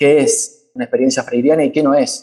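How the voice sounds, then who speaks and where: The male speaker has a dark, mellow tone. His intonation is lively. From Argentina, Buenos Aires. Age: 30s. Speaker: community organizer, social movement activist. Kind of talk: panel talk.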